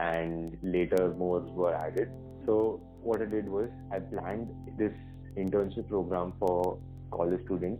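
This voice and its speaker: A man with an Indian accent speaks at a fairly slow pace in a very deep, low voice with ordinary pitch variation, music playing in the background. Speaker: tech entrepreneur and student. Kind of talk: podcast interview answer.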